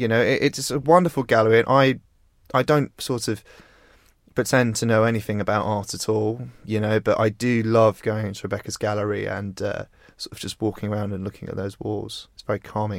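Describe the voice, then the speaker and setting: On a very clean recording with a silent background, a man speaks at a fairly quick pace in a fairly low voice. His intonation is fairly even, but his loudness swings widely. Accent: English. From rural England. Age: 20s. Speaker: magazine founder and editor. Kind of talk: interview conversation.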